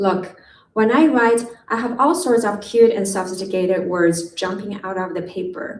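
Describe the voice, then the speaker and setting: A woman with a medium pitch speaks with a non-native accent. Her moderate pace comes through audible room echo. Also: ordinary pitch variation. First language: not English. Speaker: poet. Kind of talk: poetry reading. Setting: stage with audience.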